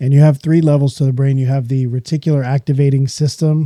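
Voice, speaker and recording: A man with a medium pitch has a dark, mellow, somewhat breathy tone and monotone, flat intonation. He talks at a fairly quick pace in a dry, close sound with no echo. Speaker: podcast host. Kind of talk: solo podcast monologue. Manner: casual, conversational.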